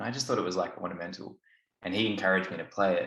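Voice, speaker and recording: In an Australian accent, a man talks with a very deep, low pitch. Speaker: didgeridoo student. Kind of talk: casual chat.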